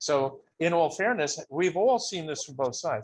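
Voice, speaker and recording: A man speaks with lively intonation. His pitch sits high. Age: 70s. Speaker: photographer. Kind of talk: casual chat. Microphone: intermittent internet connection.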